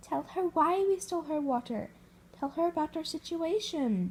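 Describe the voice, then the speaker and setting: This is a put-on character voice with lively intonation. It moves at a moderate pace. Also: woman, extremely high pitch for a woman. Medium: read story.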